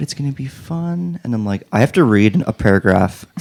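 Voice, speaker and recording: In a very clean recording with a silent background, a man speaks at a moderate pace in a dark, mellow tone with very wide pitch swings, the sound dry and close with no echo. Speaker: podcast co-host. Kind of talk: casual chat.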